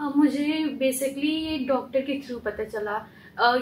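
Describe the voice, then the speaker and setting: Fairly even intonation from a woman with a high-pitched voice. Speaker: trainee with visual impairment. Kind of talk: interview answer.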